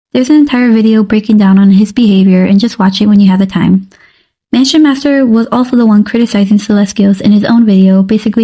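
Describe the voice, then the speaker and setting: The speech comes at a very fast pace and sounds somewhat breathy. Its loudness stays very even. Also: woman. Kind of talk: commentary video narration.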